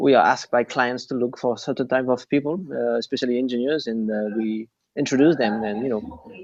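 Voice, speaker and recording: Speaking fairly quickly with a non-native accent, a man uses a medium pitch and ordinary pitch variation. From France and Japan. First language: French or Japanese. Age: 30s. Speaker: recruitment agency owner. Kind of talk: interview. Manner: halting, many fillers.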